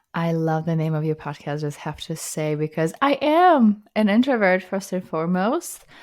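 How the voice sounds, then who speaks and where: In a Russian accent, a woman with a fairly low pitch talks at a moderate pace with lively intonation and hardly any pauses, on a very clean recording with a silent background. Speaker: psychotherapist. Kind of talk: podcast interview.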